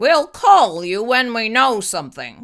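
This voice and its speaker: A put-on character voice growls at a fairly slow pace with very wide pitch swings, captured in a very clean recording over a silent background. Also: woman. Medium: read story. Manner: authoritative.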